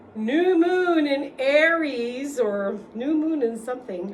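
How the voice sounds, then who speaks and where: An animated voice with very wide pitch swings carries over noticeable background noise and audible room echo. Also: woman. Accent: New York. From New York City, the Bronx. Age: 60s. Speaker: vlogger. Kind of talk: casual monologue.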